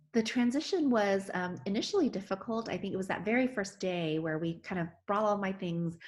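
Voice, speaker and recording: A woman talks at a fairly quick pace with hardly any pauses, her pitch medium and its variation ordinary. She has a normal speaking voice. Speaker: physician. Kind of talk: interview answer.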